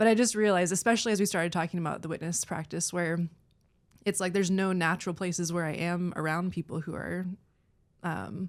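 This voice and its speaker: A soft-spoken woman talks at a very fast pace in a fairly low pitch with fairly even intonation. The recording is very clean, with a silent background. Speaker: church worship musician. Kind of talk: podcast interview.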